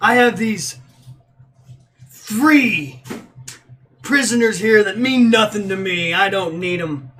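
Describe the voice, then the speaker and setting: Using a put-on character voice, a man growls in a high pitch, raised and projected, at a fairly slow pace. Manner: menacing, demanding a fight.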